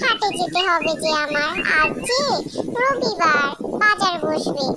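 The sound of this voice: A cartoonish character voice plays over loud background noise.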